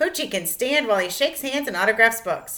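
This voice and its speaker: A female-sounding, put-on character voice speaks with an upbeat tone at a fairly high pitch. The pace is very fast. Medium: read story. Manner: upbeat, announcing.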